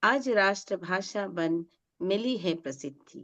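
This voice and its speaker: A woman at a medium pitch with lively intonation, dry, close sound with no echo and a quiet background. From Northeast India. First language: non-Hindi northeastern language (speaking Hindi). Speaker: poet, chief guest. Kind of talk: poetry gathering speech.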